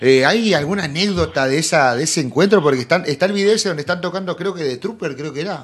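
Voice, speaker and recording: Very fast and with hardly any pauses, a man speaks at a fairly high pitch. His pitch variation is ordinary. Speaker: podcast host. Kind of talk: casual interview.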